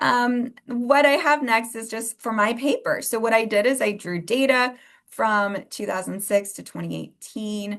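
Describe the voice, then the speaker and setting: With an ordinary speaking voice, a woman talks at a fairly slow pace and a fairly high pitch, using ordinary pitch variation and big swings in loudness against a quiet background. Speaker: researcher presenting a workshop. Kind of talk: lecture.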